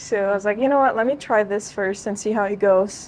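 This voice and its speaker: Noticeable background noise surrounds a woman whose intonation stays fairly even. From Brazil. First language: Portuguese. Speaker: golf coach. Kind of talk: casual chat.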